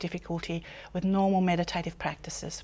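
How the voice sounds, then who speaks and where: Speaking with an Australian accent at a fairly quick pace, a woman with a fairly low pitch comes through in a very clean recording with a silent background. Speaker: author and personal development teacher. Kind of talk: interview monologue.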